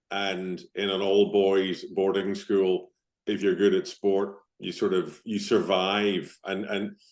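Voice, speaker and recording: A man with a slight Northern Irish accent speaks in a fairly low pitch with monotone, flat intonation. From Northern Ireland, Belfast. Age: 50s. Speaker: business founder and team coach. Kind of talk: podcast interview.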